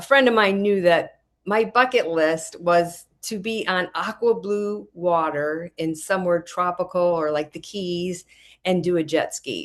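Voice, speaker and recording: At a fairly slow pace and a fairly low pitch, a woman talks in an ordinary speaking voice over a quiet background. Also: ordinary pitch variation. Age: 60s. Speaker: product user giving a testimonial. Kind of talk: testimony.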